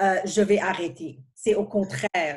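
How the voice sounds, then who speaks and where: A woman talks at a fairly slow pace in a somewhat breathy voice. Her pitch is medium for a woman, with ordinary variation. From outside Quebec, francophone immigrant. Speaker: pharmaceutical senior manager. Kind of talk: interview. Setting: podcast. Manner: halting, many repetitions.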